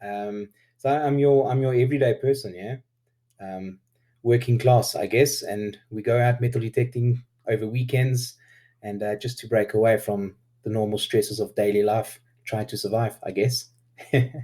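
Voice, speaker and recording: A man speaks at a moderate pace in a medium pitch, his dark, mellow tone somewhat breathy and his intonation fairly even, on a very clean recording with a silent background. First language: Afrikaans. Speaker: YouTube metal detectorist. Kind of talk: interview. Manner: hesitant with many fillers.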